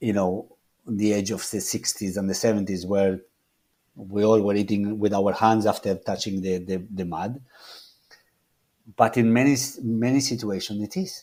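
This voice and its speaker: A man with a Spanish accent speaks at a moderate pace in a dark, mellow tone and fairly low pitch, with fairly even intonation and long, frequent pauses. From Argentina. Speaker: chef. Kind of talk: interview. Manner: halting, many repetitions and restarts.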